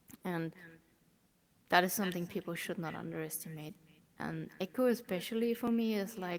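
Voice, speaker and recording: A woman with a German accent speaks with long, frequent pauses. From Germany. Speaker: VR community organiser. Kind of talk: interview.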